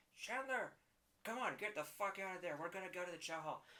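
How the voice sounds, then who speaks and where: A man's put-on character voice, high in pitch, at a fairly quick pace. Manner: blunt, commanding.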